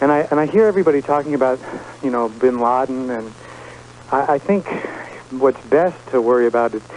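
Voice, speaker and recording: Over noticeable background noise, a man at medium pitch talks at a fairly quick pace with ordinary pitch variation and long, frequent pauses. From New York. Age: 30s. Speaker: radio caller. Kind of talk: call-in radio talk.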